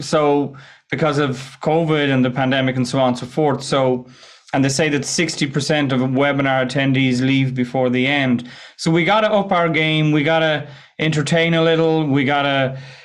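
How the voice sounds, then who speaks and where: In an Irish accent, a man talks at a moderate pace with a fairly high pitch and fairly even intonation. His loudness stays very even, and room echo is audible. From west of Ireland. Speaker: presentation skills coach. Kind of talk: podcast interview. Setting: remote call.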